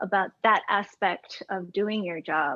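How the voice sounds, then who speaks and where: Soft-spoken and at a medium pitch, a woman speaks at a very slow pace. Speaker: pianist. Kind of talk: casual chat.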